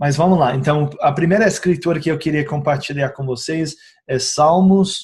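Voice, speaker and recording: Speaking at a moderate pace, a man keeps his intonation fairly even. His voice is fairly high. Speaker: essential oils educator. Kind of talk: informal video tutorial. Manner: halting, many filler sounds.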